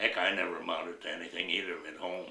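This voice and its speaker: A man speaks with an American accent. Room echo is audible. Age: 90s. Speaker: war veteran. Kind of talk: oral history interview. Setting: at home. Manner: halting.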